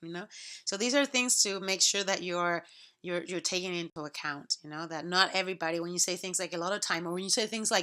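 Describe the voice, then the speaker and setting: A woman speaks very fast in a Spanish accent, her voice bright and sharp at a medium pitch with ordinary pitch variation. The recording is very clean, with a silent background. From Puerto Rico. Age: 40s. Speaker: college instructor. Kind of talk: recorded lecture to students. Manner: conversational, many fillers and repetitions.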